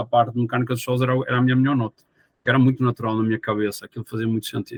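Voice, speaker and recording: A man's medium-pitched voice with a Portuguese accent and fairly even intonation. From Portugal, Porto. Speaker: geotechnical engineer. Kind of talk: podcast interview. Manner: hesitant with fillers.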